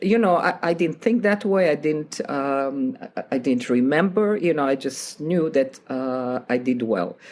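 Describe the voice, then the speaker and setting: A woman with a non-native accent speaks at a moderate pace. Her voice is very deep and low, with lively intonation. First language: not English. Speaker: piano teacher and author. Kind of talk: interview.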